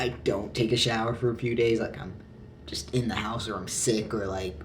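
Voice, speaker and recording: Amid noticeable background noise and audible room echo, a man with a fairly low pitch speaks with very wide pitch swings. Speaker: vlogger. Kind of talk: casual vlog monologue. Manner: hesitant, filler-heavy.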